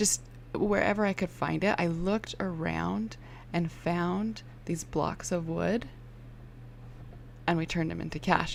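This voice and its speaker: A soft-spoken woman at a fairly slow pace, with long, frequent pauses. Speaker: online business coach. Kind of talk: tutorial. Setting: home, early morning with kids asleep. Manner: animated.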